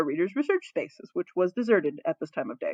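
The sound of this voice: A slightly husky edge colors this fairly quick delivery, with big pitch swings and a dry, close sound that has no echo. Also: woman.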